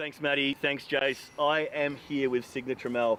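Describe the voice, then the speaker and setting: Here a man talks with an Australian accent. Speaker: field interviewer for disc golf coverage. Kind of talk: on-course interview.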